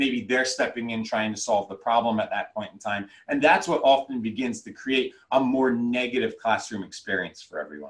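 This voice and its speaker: A man's plain, everyday voice at medium pitch, moderate in pace with hardly any pauses and ordinary pitch variation. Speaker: educator and trauma-informed trainer. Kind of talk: lecture.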